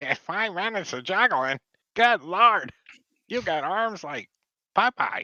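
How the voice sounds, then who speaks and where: In a put-on character voice pitched high for a man, he speaks fairly slowly, with big swings in loudness and long, frequent pauses. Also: dry, close sound with no echo. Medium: actual play. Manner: excitable, easily startled.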